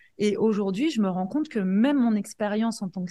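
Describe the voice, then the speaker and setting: A woman's medium-pitched, somewhat breathy voice with a dark, mellow tone at a moderate pace, on a very clean recording with a silent background. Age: 40s. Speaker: life coach and entrepreneur. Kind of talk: interview.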